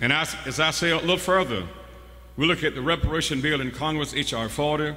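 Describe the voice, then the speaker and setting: A man with a fairly high pitch and ordinary pitch variation talks very fast, with audible room echo and noticeable background noise. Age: 60s. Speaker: preacher. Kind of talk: sermon. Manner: call-and-response preaching.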